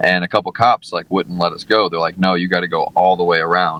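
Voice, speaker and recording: The words come at a fairly quick pace. Behind them, music is playing. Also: man. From St. Louis, Missouri. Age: 30s. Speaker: mixed martial arts fighter. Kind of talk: casual podcast interview.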